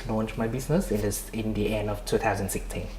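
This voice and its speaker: Noticeable background noise accompanies a man whose voice has audible room echo. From Vietnam. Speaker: migration consultant and entrepreneur. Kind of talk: interview. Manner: halting, many repetitions and fillers.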